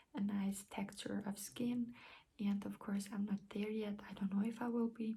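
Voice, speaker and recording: Moderately paced, a woman talks at a medium pitch in a non-native accent. Her intonation is monotone and flat. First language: not English. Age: 20s. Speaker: beauty vlogger. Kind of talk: casual vlog talk. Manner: hesitant, many fillers; careful, clear.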